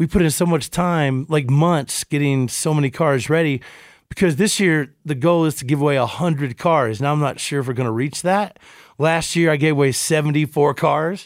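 Recorded very cleanly against a silent background, a man with a fairly high pitch speaks at a moderate pace with ordinary pitch variation. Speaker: radio DJ and car show host. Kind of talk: casual podcast chat.

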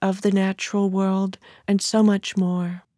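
Speaking at a moderate pace with a Californian accent, a woman has a dark, mellow and calm tone, heard in a dry, close sound with no echo. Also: very clean recording, silent background. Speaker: writer and historian. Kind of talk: author interview monologue.

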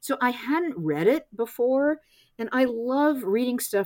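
A woman speaks at a fairly slow pace in a dark, mellow tone, her voice dry and close with no echo on a very clean recording with a silent background. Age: 60s. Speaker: essayist and author. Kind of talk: interview conversation.

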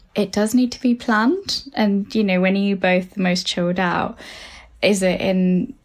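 Her voice is medium in pitch and somewhat breathy at a moderate pace. The woman is heard in a very clean recording with a silent background. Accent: British. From UK, of Sri Lankan parents. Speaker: psychotherapist. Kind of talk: advice conversation.

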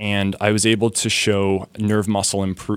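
With a Canadian accent and a normal speaking voice, a man talks at a moderate pace and fairly low pitch on a very clean recording with a silent background. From Canada. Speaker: medical researcher. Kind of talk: radio interview.

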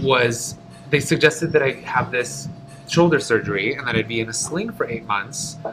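Music plays in the background while a man speaks. He leaves long, frequent pauses. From US Midwest, Detroit. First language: Polish. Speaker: stage performer and dancer. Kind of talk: casual interview.

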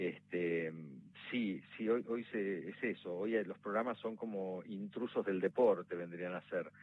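This man talks at a very slow pace in a Rioplatense accent. His pitch sits fairly low, with ordinary pitch variation. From Argentina, La Plata. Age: young. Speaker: actor. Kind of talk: interview. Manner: halting.

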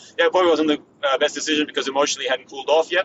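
With an Australian accent, this voice moves at a very fast pace. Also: man. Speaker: former pro tennis player. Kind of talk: casual interview chat.

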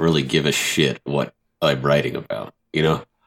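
Recorded with a dry, close sound and no echo, a man speaks at a moderate pace with vocal fry. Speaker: gaming podcast guest. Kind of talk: casual chat.

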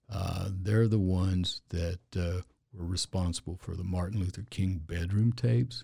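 Dry and close with no echo, a man's very deep, low voice comes across as somewhat breathy, with a dark, mellow tone and ordinary pitch variation. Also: moderate pace. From Louisiana, then New Mexico from age twelve. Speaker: injury lawyer, former police officer and preacher. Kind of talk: casual interview chat.

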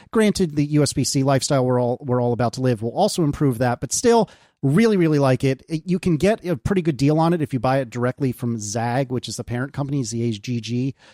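A very fast, medium-pitched male voice with a dark, mellow tone, lively intonation and hardly any pauses, in a dry, close sound with no echo. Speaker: podcaster. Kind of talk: casual chat. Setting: video call.

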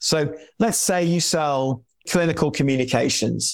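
In a London accent, a man speaks at a fairly slow pace. The recording is very clean, with a silent background. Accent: southern English (London). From London, England. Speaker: marketing executive and author. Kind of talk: casual interview.

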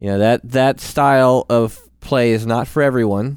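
Speaking at a fairly slow pace, a man with a medium pitch uses a playful tone and fairly even intonation. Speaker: podcast co-host and gamer. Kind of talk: casual banter about gaming. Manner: playful, joking.

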